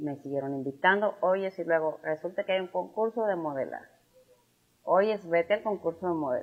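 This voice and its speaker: Her pitch fairly low with ordinary variation, a woman speaks at a moderate pace. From Tamaulipas, Mexico (San Fernando). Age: 50s. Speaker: businesswoman and former beauty queen. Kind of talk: interview.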